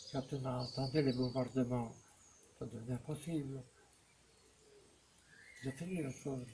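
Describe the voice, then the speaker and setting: Leaving long, frequent pauses, a man talks at a fairly slow pace in a dark, mellow, somewhat breathy tone with fairly even intonation. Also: medium pitch for a man. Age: 80s+. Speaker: war veteran. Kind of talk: interview answer.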